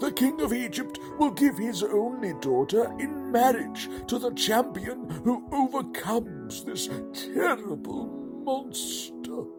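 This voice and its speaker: Over loud background music, a man performs a put-on character voice at a fairly slow pace. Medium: comedy sketch.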